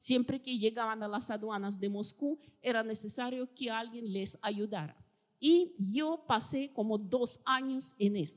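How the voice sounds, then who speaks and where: A fairly high-pitched woman with a Russian accent and lively intonation. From Russia (Soviet Union). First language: Russian (speaking Spanish). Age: 50s. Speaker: historian and writer. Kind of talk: interview.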